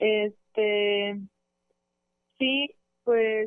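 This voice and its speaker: The woman has a fairly high pitch. Her intonation stays fairly even. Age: 20s. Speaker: student and small farmer. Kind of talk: radio interview.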